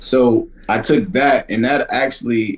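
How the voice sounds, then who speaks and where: This is a man talking. He has a Brooklyn accent. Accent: New York (Brooklyn). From US Northeast, Brooklyn (Kensington), New York. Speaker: rapper. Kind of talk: casual interview chat.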